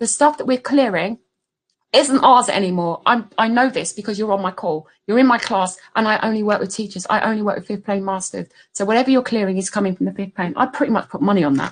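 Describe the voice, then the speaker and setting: With a somewhat breathy, fairly high voice, a woman talks very fast with ordinary pitch variation. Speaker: spiritual business coach. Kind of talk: webinar masterclass. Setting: online webinar screen share.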